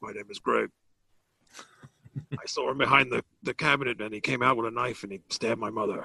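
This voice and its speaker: Using a put-on character voice, a man sounds raspy at a medium pitch, speaking fairly quickly with long, frequent pauses, big swings in loudness and ordinary pitch variation. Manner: jerky, exaggerated.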